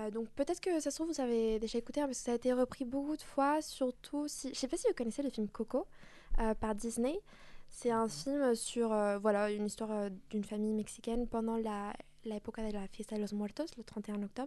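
Words come at a fairly quick clip. A dark, mellow tone carries them. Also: woman, fairly high pitch for a woman, ordinary pitch variation. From Mexico and France. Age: 20s. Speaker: singer and dancer. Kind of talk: casual radio interview. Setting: studio.

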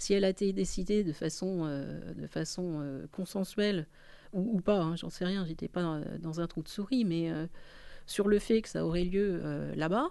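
Against a quiet background, a woman talks at a fairly slow pace in a fairly low, dark and mellow voice with ordinary pitch variation. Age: 60s. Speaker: politician and association leader. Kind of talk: political interview.

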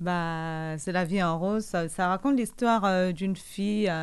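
Using a normal speaking voice, a woman talks at a fairly low pitch and a fairly slow pace with ordinary pitch variation. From Cameroon. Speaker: singer. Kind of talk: radio interview.

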